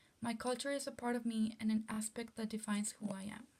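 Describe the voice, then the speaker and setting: A somewhat breathy woman's voice, fairly quick in pace, with monotone, flat intonation. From Texas, Rio Grande Valley (Mexican-American border town). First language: Spanish. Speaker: student. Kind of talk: class presentation, reading prepared text.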